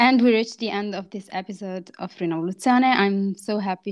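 Against a quiet background, a woman speaks in a plain, everyday voice of medium pitch with fairly even intonation. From grew up in France, Moroccan roots. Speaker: podcast host. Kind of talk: casual interview chat, Darija-English code-switching.

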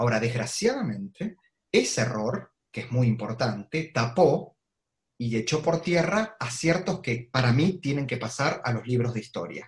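A somewhat breathy man speaks at a medium pitch and fairly slow pace with lively intonation. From Argentina, Avellaneda (Buenos Aires province). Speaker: political analyst and columnist. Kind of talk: online talk / interview.

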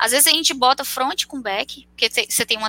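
A woman delivers her words at a fairly quick pace while music sounds in the background. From Fortaleza, northeastern Brazil. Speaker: software engineer. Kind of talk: casual chat. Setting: live video stream.

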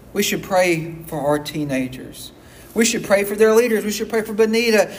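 There is audible room echo and noticeable background noise as a man speaks at a high pitch with ordinary pitch variation. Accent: Southern US. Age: 40s. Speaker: pastor. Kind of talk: sermon. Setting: church.

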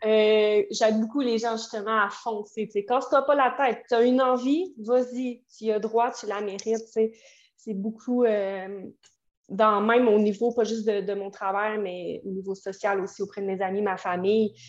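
A woman speaks at a fairly slow pace with a fairly high pitch and fairly even intonation against a quiet background. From Quebec City, Quebec. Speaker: tarot reader and astrologer. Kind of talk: casual interview chat. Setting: video call.

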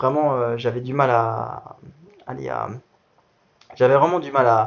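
Very slow, medium-pitched speech from a man, with long, frequent pauses and ordinary pitch variation. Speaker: para athlete. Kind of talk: interview. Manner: halting.

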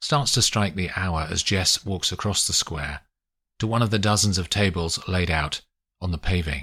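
An unforced reading voice against a quiet background

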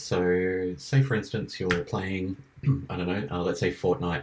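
This man has a very deep, low pitch and an Australian accent. His intonation is lively. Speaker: live streamer. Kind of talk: casual chat.

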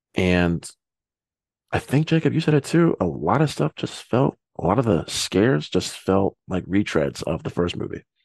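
With a quiet background, a man speaks in a very deep, low pitch with vocal fry and very wide pitch swings. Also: moderate pace, dry, close sound with no echo. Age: 20s. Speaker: podcast host. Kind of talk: casual chat.

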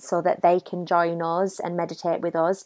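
With a British accent, a woman speaks in a gentle tone at a fairly low pitch. The sound is dry and close with no echo, on a very clean recording with a silent background. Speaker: meditation guide. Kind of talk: guided meditation. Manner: slow, soothing, calm; gentle, unhurried, with long pauses.

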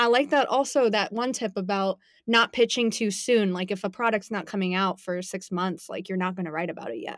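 A woman with an American accent speaks at a fairly quick pace and medium pitch, with ordinary pitch variation. The recording is very clean, with a silent background. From US South, Sarasota, Florida. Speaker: PR podcast host. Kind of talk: casual interview chat. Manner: animated.

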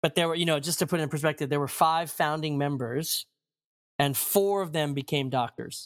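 A man with an American accent and a normal speaking voice talks fairly quickly at a fairly high pitch with fairly even intonation. The recording is very clean and dry, with a silent background and no echo. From Maryland, US. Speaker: pastor. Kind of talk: interview.

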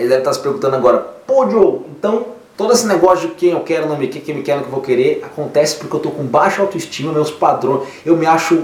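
Over noticeable background noise and audible room echo, a man with a high pitch talks at a very fast pace in an animated tone with lively intonation. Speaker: therapist and podcast host. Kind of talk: casual monologue with advice on listener emails.

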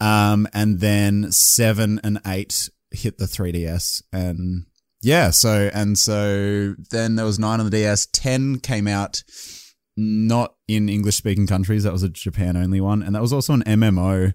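A man with an Australian accent, fairly low-pitched and fairly slow, with fairly even intonation, dry, close sound with no echo and a very clean recording with a silent background. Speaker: gaming content creator. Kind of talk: casual chat. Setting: call.

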